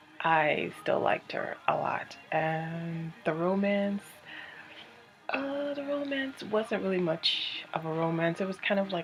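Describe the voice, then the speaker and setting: A woman whispers quietly at a very slow pace. Noticeable background noise runs behind her. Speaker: book reviewer. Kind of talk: casual video review. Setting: at home, company nearby. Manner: quiet, whispery.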